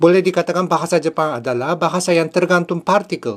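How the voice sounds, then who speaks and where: The man's voice sits fairly high in pitch while his words come at a fairly quick pace. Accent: Japanese. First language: Japanese (speaking Indonesian). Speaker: language teacher. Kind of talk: tutorial. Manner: formal.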